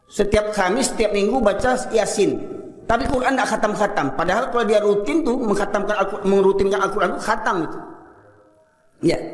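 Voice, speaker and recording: A man's animated, high-pitched voice at a fairly quick pace, with ordinary pitch variation, noticeable background noise and audible room echo. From Medan, North Sumatra, Indonesia. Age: 50s. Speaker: Islamic preacher. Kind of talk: sermon.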